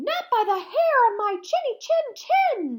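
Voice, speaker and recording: A squeaky, extremely high-pitched put-on character voice at a fairly slow pace. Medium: read story. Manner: panicked.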